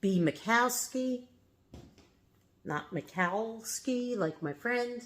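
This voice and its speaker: A woman speaks very slowly in a New York accent, her pitch fairly high. Her intonation is lively. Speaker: reseller and haul vlogger. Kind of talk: casual product showcase vlog. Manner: casual, chatty with fillers.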